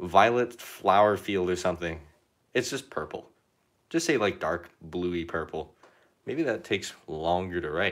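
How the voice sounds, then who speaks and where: This very clean recording carries a man's voice over a silent background. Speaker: artist streamer. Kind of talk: live painting tutorial chat. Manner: casual, rambling with fillers.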